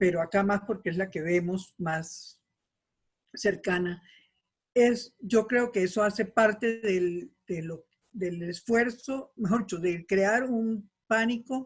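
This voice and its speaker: Somewhat breathy, a woman speaks at a very slow pace in a medium pitch, with ordinary pitch variation. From Colombia. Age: 70s. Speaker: participant in community discussion. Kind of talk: casual discussion.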